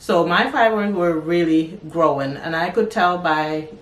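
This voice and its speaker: A woman with a fairly low pitch speaks at a moderate pace with ordinary pitch variation. Noticeable background noise and audible room echo surround her voice. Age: 40s. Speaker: lifestyle and wellness youtuber. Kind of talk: personal health vlog.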